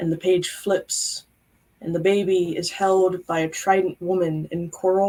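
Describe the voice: Plain reading aloud in fairly even intonation.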